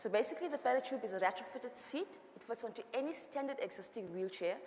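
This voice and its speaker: Delivered at a very fast pace with ordinary pitch variation, the speech has noticeable background noise behind it. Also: woman. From South Africa. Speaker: entrepreneur, founder. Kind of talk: panel discussion.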